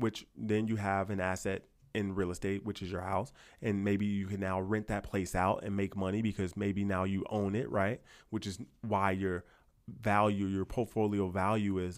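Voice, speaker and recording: A man speaks in a fairly low voice. The recording is very clean, with a silent background. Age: 30s. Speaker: barber and YouTuber. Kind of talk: casual monologue. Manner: animated.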